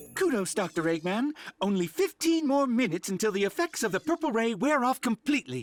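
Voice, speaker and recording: A cartoonish character voice with fairly high pitch rattles along at a fairly quick pace. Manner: polite, mild.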